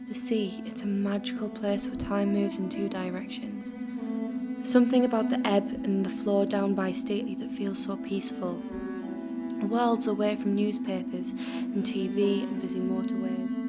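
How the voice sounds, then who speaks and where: A woman speaks at a moderate pace in a fairly high pitch, her intonation flat and monotone. Music plays in the background. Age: 20s. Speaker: spoken word artist. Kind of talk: spoken word poetry reading.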